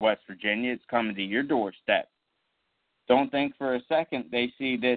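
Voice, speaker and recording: Speaking at a fairly slow pace, a man holds a medium pitch with ordinary pitch variation. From southern Maryland (Charles County). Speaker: podcast host. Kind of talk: solo political podcast monologue.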